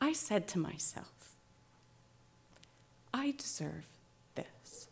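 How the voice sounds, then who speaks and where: A woman speaks at a very slow pace. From Canada. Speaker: writer. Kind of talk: live storytelling performance. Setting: live audience.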